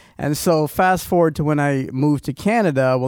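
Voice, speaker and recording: The man speaks at a moderate pace. His pitch variation is ordinary. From Trinidad. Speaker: youth ministry leader. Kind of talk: testimony. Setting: studio.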